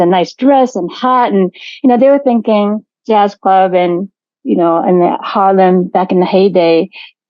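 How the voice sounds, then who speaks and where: At a moderate pace, a woman talks at medium pitch in a Japanese accent. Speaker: artistic director of a jazz venue. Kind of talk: interview.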